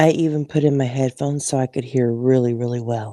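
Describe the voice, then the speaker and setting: Using a put-on character voice, a woman speaks with a very deep, low pitch. Her delivery is breathy and fairly quick. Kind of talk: quiet, intimate. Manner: breathy, sleepy podcast voice.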